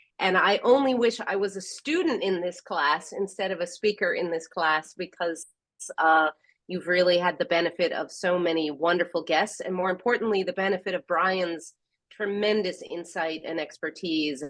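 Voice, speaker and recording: A woman with an American accent and an unremarkable speaking voice, medium in pitch, moderate in pace, with ordinary pitch variation. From US Northeast (New York). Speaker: professor and government technology expert. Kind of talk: guest lecture.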